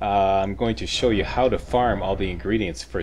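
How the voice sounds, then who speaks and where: A man's very deep, low voice with a Canadian accent, against noticeable background noise. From Canada. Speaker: gaming YouTuber. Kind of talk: gameplay walkthrough commentary.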